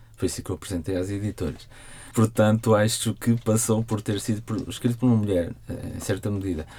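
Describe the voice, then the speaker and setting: A man's somewhat breathy, fairly low voice with a dark, mellow tone, fairly quick pace, and fairly even intonation. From Portugal, Porto. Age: 30s. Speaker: novelist. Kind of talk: interview.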